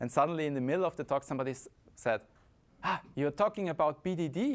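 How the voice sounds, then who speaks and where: This man talks at a moderate pace, and the recording is very clean with a silent background. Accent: Austrian. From Austria, Vienna. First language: German. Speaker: conference speaker, software consultant. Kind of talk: conference talk.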